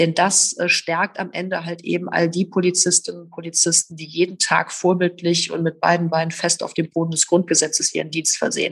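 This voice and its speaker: Barely pausing, a woman with a fairly low pitch and a somewhat breathy voice speaks in a monotone, flat intonation, her loudness swinging widely. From Rhineland, Oberbergischer Kreis, Germany. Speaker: politician, former police officer. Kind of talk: interview. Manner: hesitant with many fillers.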